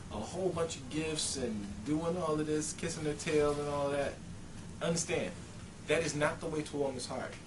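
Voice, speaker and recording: A man speaks with a fairly high pitch. There is noticeable background noise and audible room echo. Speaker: dating advice vlogger. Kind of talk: casual monologue. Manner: animated.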